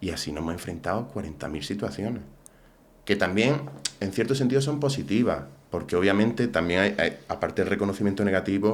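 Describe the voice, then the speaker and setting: Here a man talks at a fairly quick pace with an Andalusian accent. His pitch is fairly low and his intonation lively. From Andalusia, Umbrete (Seville). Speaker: political commentator. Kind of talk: casual interview chat.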